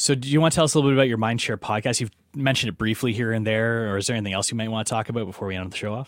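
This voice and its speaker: A man's very fast, medium-pitched voice with a Canadian accent, hardly any pauses, ordinary pitch variation, and a very clean recording with a silent background. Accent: general Canadian. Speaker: podcast host. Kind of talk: casual interview chat.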